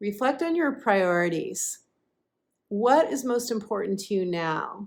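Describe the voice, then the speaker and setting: A woman at a very slow pace, with very wide pitch swings, on a very clean recording with a silent background. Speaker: intuitive astrologer and life coach. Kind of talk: astrology forecast with card reading.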